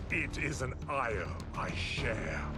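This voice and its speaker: Loud music plays in the background as a man performs a cartoonish character voice. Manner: measured, formal.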